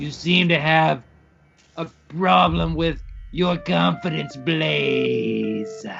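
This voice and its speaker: A man's put-on character voice at medium pitch, very slow in pace, with faint music in the background. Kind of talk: comic improv. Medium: audio drama.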